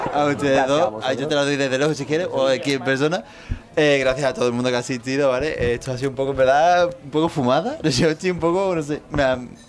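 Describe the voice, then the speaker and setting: A man speaks very fast at a fairly high pitch, with ordinary pitch variation. Noticeable background noise is present. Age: 20s. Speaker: podcast host. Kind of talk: casual chat. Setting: studio with live audience.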